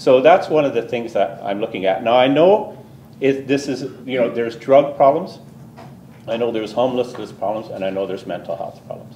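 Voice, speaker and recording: In a Canadian accent, a man at a medium pitch talks at a fairly quick pace with lively intonation, and audible room echo surrounds him. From southern Ontario, Canada. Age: 60s. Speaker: resident delegate at council meeting. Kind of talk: public address to council.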